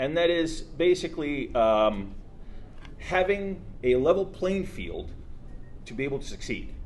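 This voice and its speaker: A high-pitched man with an American accent, lively intonation, big swings in loudness and long, frequent pauses. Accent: sounds American. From Soviet Ukraine, then US from age 12. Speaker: tech entrepreneur. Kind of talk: speech at launch event. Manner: halting, many fillers.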